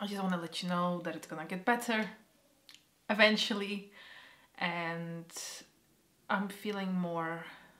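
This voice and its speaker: A woman speaks at medium pitch in a bright, sharp tone, fairly slowly, with fairly even intonation and big swings in loudness. Her long, frequent pauses fall in audible room echo. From Poland. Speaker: vlogger. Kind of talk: personal vlog. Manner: halting, emotional.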